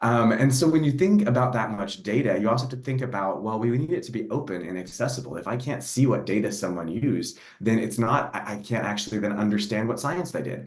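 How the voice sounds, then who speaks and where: Lively intonation marks a man's medium-pitched voice. Audible room echo surrounds it. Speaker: NASA program executive for data. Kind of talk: panel discussion. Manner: fast.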